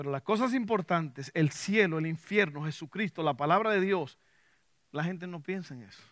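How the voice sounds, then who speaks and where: Speaking at a moderate pace, a man uses a high pitch with ordinary variation. His tone is animated, and his loudness swings widely. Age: 50s. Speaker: pastor. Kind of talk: sermon.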